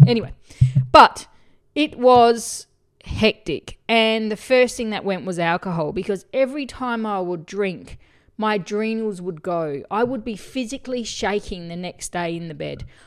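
In an Australian accent, the speaker sounds animated, with lively intonation, big swings in loudness and a moderate pace, in a very clean recording with a silent background. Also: woman, fairly high pitch for a woman. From Australia, country town. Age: 40s. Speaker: podcast host, spiritual coach. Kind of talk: solo podcast monologue.

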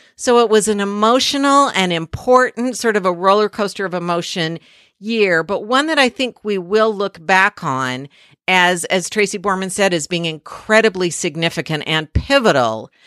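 An enthusiastic woman at a moderate pace, on a very clean recording with a silent background and a dry, close sound free of echo. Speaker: history podcast host. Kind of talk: solo podcast monologue.

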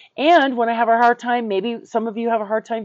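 A woman speaks in a plain, everyday voice. Her pitch is fairly high and her pace fairly quick. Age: 50s. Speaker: co-host, mindset and relationship coach. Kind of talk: casual chat.

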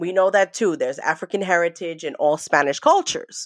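A woman with an American accent speaks fairly quickly at a medium pitch in an unremarkable speaking voice. The recording is very clean and dry, with a silent background and a close sound with no echo. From New York. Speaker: trauma survivor sharing family story. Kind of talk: testimony.

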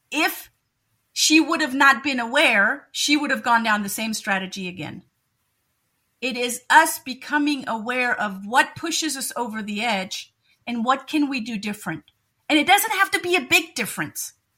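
A woman's raised, projected voice, high-pitched with a bright, sharp tone, at a moderate pace, with very wide pitch swings and big swings in loudness. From Germany. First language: German. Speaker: educator and NLP coach. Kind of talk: interview.

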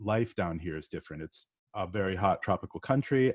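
A man with an American accent and an ordinary speaking voice, fairly low in pitch, at a moderate pace, in a dry, close sound with no echo. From Northeast US. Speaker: podcast guest. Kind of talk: casual interview.

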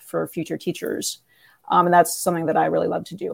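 On a very clean recording with a silent background, a woman speaks with an American accent. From Northern California. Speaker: math professor and department chair. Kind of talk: interview.

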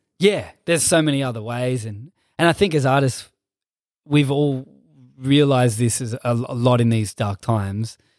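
A man with an Australian accent speaks at a medium pitch and a moderate pace, using ordinary pitch variation. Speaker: dancer and hip hop musician. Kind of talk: casual interview chat. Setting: studio.

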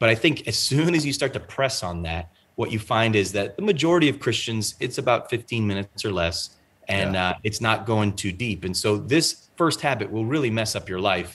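An unremarkable speaking voice moves at a moderate pace with lively intonation. The background is quiet. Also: man, fairly low pitch for a man. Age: 30s. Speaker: pastor and author. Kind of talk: interview. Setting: video call.

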